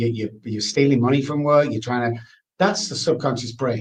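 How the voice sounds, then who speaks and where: Somewhat breathy, a man of medium pitch speaks at a moderate pace with ordinary pitch variation. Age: 60s. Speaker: addiction expert. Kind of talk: interview.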